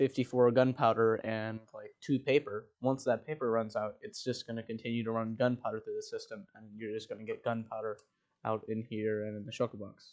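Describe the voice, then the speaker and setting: A man mumbles at a medium pitch in a flat monotone, his loudness swinging widely. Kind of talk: gaming tutorial talk. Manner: mumbling.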